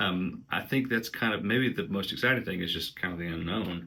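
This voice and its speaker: With an Appalachian accent, a man speaks in a very deep, low pitch and a bright, sharp tone. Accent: Appalachian Southern. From Southeast Kentucky, Appalachia. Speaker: musician and book vlogger. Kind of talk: casual vlog, answering tag questions. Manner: hesitant, many fillers.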